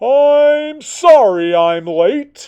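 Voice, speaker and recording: This put-on character voice is high-pitched, with very wide pitch swings. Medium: read story. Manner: polite, slightly flustered.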